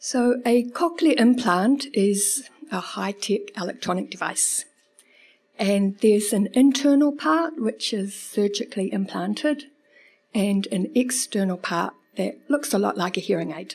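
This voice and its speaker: Her voice somewhat breathy and fairly high in pitch, a woman speaks at a fairly slow pace with lively intonation. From New Zealand (Lower Hutt). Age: 40s. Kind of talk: live storytelling. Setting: stage with audience.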